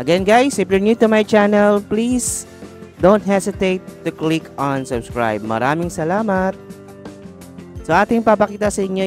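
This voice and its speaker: Clear music sits in the background of a dry recording with no echo. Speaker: shopping vlogger. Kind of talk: casual vlog chat. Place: shop. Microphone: phone near.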